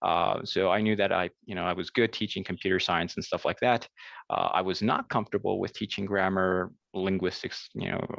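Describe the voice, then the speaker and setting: Very deep and low in pitch, a man with a New Jersey accent talks at a fairly quick pace in a monotone, flat way against a quiet background. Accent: American, New Jersey. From US Northeast (New Jersey). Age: 30s. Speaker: language teacher. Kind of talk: conference presentation. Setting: virtual conference call. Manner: hesitant, many fillers; hurried.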